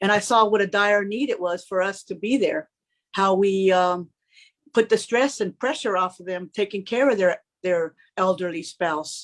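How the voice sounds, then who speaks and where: Over a quiet background, a woman with an ordinary speaking voice and an American accent speaks at a medium pitch and moderate pace with ordinary pitch variation. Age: 60s. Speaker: home care worker. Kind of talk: panel discussion.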